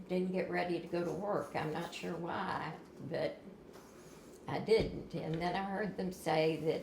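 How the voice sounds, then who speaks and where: With audible room echo and noticeable background noise, a woman speaks at a moderate speed. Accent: American. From southern Indiana (Clarksville). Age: 60s. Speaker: tornado survivor. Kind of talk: interview. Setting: at home.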